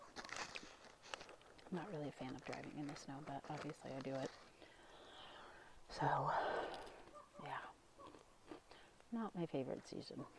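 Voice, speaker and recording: A woman whispers at a fairly slow pace, with long, frequent pauses. Noticeable background noise runs underneath. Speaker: ASMR creator, parent. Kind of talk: ASMR ramble while eating a snack. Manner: soft-spoken, quiet, slow.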